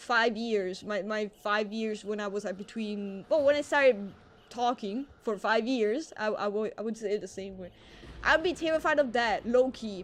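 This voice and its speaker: A woman's fairly high voice with an Italian accent, at a moderate pace with ordinary pitch variation. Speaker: live streamer. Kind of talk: casual chat. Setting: live stream.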